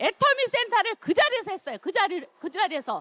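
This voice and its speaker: Her voice is raised and projected, bright and sharp in tone, with very wide pitch swings. The woman's sound is dry and close, with no echo. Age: 60s. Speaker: network marketing distributor. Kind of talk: testimony.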